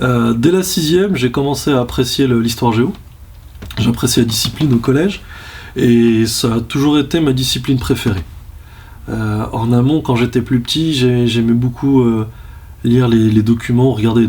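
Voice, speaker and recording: At a moderate pace, a man with a medium pitch talks with ordinary pitch variation and very even loudness. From France, Lyon. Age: 30s. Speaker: history teacher. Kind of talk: interview. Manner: hesitant, many fillers.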